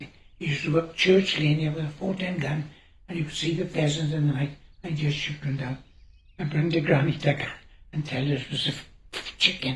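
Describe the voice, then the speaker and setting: Somewhat breathy and in a South Wales accent, the voice moves at a fairly quick pace with monotone, flat intonation. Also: man, fairly high pitch for a man. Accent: Welsh (Gower) English. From Wales, Gower. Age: 80s+. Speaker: farmer. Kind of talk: oral history interview.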